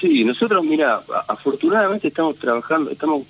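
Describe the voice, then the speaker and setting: With dry, close sound and no echo, a man talks in very wide pitch swings. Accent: Rioplatense. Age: 50s. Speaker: theatre director. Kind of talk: interview. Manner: halting, many fillers.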